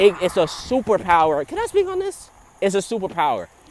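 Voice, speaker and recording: A loud, animated man with an American accent, very wide pitch swings and a moderate pace. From New Jersey, US. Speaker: vlogger. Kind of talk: casual monologue. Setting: outdoors on a trail.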